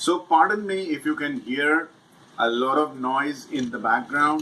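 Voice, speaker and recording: A man speaks loudly at a fairly slow pace. His pitch is fairly high and his intonation lively. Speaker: financial video presenter. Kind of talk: talking-head explainer. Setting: at home by balcony. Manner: halting, many fillers.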